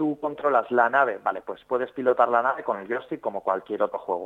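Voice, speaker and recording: With normal pitch movement and a rather brisk pace, this is an unremarkable speaking voice. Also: man. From Spain, Zaragoza (Aragon). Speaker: video game project manager. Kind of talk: interview. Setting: phone call.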